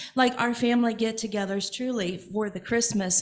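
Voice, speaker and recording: A woman speaks with an American accent at a moderate pace, her pitch fairly high and her intonation fairly even. Audible room echo surrounds her voice. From Evansville, Indiana. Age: 60s. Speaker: congregation member. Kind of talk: personal sharing in church service. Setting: church.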